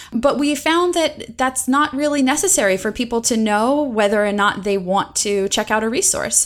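A woman speaks at a high pitch with lively intonation. Her pace is moderate, with hardly any pauses. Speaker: instructional designer. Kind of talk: casual interview chat.

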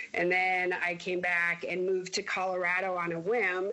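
A woman of medium pitch with a US Midwestern accent. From Iowa, Mason City. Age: 40s. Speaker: airline employee. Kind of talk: interview.

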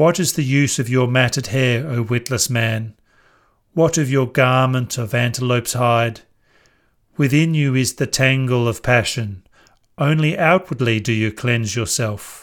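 A man speaks in a normal speaking voice at medium pitch. His pace is fairly slow and his pitch variation ordinary. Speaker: scripture narrator. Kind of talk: scripture audiobook reading, verses read aloud. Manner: measured, calm, formal; slow, even, meditative pacing.

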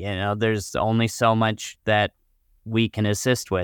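A man speaks at a moderate pace with an American accent, in an unremarkable speaking voice of fairly low pitch. The recording is very clean with a silent background, and the sound is dry and close with no echo. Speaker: financial advisor and radio co-host. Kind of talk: radio talk show conversation.

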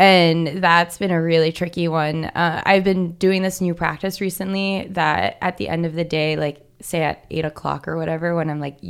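Speaking in an ordinary speaking voice, a woman keeps a moderate pace with hardly any pauses, a fairly low pitch and fairly even intonation, in a very clean recording with a silent background. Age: 20s. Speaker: herbalist and small business founder. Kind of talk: interview. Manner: casual, with fillers.

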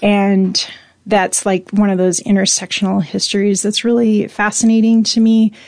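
With an American accent, a woman speaks at a medium pitch and a moderate pace, her intonation monotone and flat. Her loudness stays very even over a quiet background. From US Pacific Northwest, Spokane, Washington. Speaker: entrepreneur and activist. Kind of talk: interview conversation.

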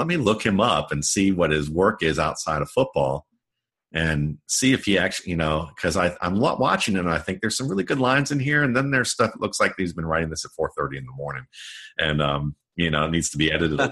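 Very deep and low in pitch, a man's bright, sharp voice makes very wide pitch swings. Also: fairly quick pace. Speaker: football scout and writer. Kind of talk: interview.

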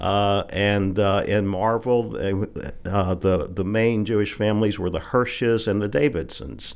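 With a Southern US accent, a man speaks at a fairly slow pace and fairly low pitch, his intonation fairly even and hardly any pauses between words. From Arkansas Delta (Holly Grove). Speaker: appeals court judge. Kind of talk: casual interview. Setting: studio. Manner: halting, many fillers.

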